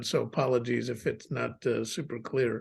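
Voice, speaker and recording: Against a quiet background, a man talks with an American accent. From US, Chicago. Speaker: businessman, guest speaker. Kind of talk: personal testimony on video call. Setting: video call.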